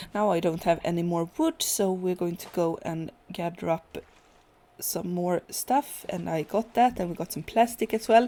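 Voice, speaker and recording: Speaking at a moderate pace, a woman uses a fairly low pitch with ordinary variation and a dark, mellow tone. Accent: Swedish. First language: Swedish. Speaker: gaming youtuber. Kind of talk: gameplay commentary. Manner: halting, many fillers.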